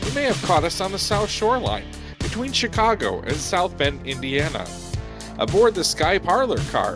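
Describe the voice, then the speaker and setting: With music playing in the background, the speaker talks at a moderate pace. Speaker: rail program host. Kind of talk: program introduction.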